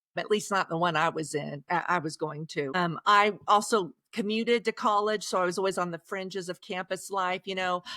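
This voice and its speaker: A woman of medium pitch with a slight Oklahoma accent speaks with hardly any pauses, ordinary pitch variation and a bright, sharp tone, in a dry, close sound with no echo. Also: moderate pace. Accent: slight Oklahoma twang. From Oklahoma, Osage County. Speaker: author. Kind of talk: podcast interview. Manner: halting, repeats words.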